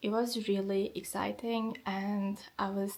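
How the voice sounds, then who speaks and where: A woman with a Turkish accent speaks at medium pitch and a fairly slow pace in a monotone, flat intonation. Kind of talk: vlog narration.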